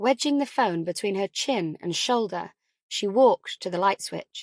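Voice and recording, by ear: A woman talks at a fairly slow pace with lively intonation. The sound is dry and close, with no echo.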